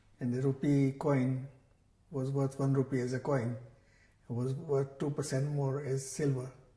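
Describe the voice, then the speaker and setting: A man speaks at a fairly slow pace with a medium pitch and a dark, mellow tone. His voice is somewhat breathy, his intonation monotone and flat. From Kenya. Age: 70s. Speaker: religious scholar and teacher. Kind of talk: oral history interview. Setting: temple community centre.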